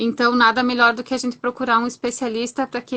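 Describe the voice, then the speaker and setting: A woman's high-pitched voice has a bright, sharp tone and a monotone, flat intonation. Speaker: labour lawyer, moderator. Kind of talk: online talk interview.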